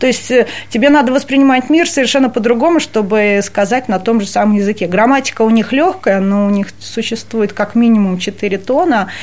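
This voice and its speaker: A woman talks at a moderate pace in a fairly high pitch, her intonation lively and her loudness very even. Noticeable background noise runs behind her. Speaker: cultural center staff member. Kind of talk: interview.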